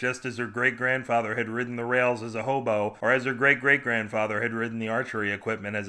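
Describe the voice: Simple reading aloud, its intonation fairly level.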